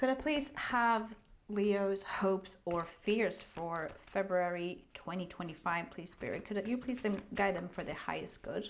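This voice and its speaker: A woman speaks with a non-native accent at a medium pitch. Her pace is fairly slow. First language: not English. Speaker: tarot reader. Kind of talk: tarot reading. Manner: halting.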